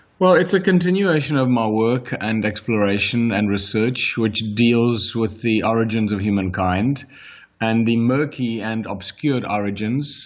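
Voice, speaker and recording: A man speaks with a strong South African accent. His pace is moderate. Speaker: author and researcher. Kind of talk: interview.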